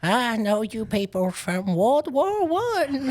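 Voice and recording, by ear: This is a put-on character voice that sounds female. Its pitch is fairly high. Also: fairly slow pace.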